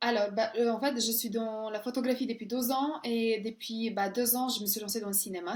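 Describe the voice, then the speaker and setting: Fairly high-pitched speech from a woman with a Serbian accent, at a moderate pace with fairly even intonation. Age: 30s. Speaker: closer, model, actress and coach. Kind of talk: interview. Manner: halting.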